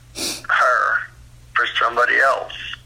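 A man's voice over noticeable background noise. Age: 60s. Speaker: biological father on a phone call. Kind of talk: emotional phone conversation.

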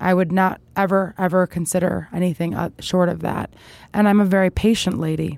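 A woman's ordinary speaking voice at a medium pitch, with fairly even intonation and a fairly quick pace. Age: 30s. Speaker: political campaign figure. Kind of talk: interview.

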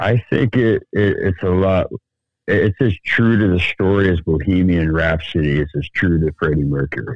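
A man with an American accent speaks in a very deep, low pitch with ordinary pitch variation. His pace is moderate and his loudness very even. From Sacramento, California. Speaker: podcast co-host. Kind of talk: casual chat.

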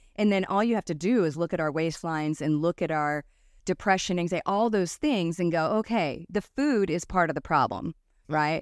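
A woman's normal speaking voice, fairly low in pitch with ordinary pitch variation, at a fairly quick pace, on a very clean recording with a silent background. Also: dry, close sound with no echo. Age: 50s. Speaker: podcast host, health practitioner. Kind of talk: interview.

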